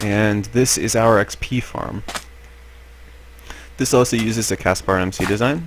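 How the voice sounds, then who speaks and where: Against noticeable background noise, a fairly low-pitched man speaks with long, frequent pauses. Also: fairly even intonation, moderate pace. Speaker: Minecraft builder and let's play narrator. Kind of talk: casual Minecraft tour narration.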